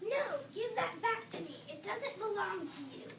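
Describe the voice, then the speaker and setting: Over loud background noise, a woman uses a put-on character voice at an extremely high pitch and a moderate pace. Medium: read story. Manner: taunting, scheming.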